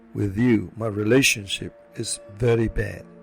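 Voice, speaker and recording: A man at a medium pitch, fairly slow pace, music in the background. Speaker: motivational speaker. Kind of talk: inspirational story talk to camera.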